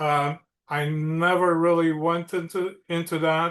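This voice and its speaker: A man's high-pitched, monotone, flat delivery with a Romanian accent. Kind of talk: podcast interview.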